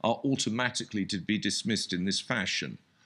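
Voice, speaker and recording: In a British accent, a man with a bright, sharp tone talks at a moderate pace with lively intonation on a very clean recording with a silent background. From Britain. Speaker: historian and conference speaker. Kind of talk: conference panel discussion. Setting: conference with audience.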